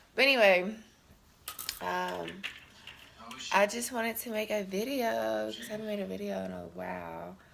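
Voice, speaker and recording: A woman speaks with long, frequent pauses and big swings in loudness. Noticeable background noise and audible room echo fill the recording. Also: moderate pace. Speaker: soldier vlogger. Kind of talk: casual vlog. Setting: at home getting ready for work. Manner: hesitant, many fillers.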